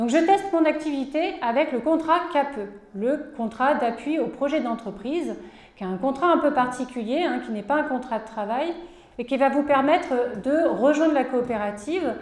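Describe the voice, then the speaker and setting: A woman talks at a moderate pace with a high pitch and ordinary pitch variation. Audible room echo and noticeable background noise surround her voice. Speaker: cooperative support worker. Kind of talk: conference presentation. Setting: conference with audience.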